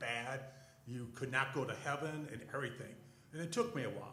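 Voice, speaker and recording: A man speaks at a moderate pace and medium pitch with ordinary pitch variation, with audible room echo and noticeable background noise. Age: 60s. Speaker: church panelist. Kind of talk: testimony. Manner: halting.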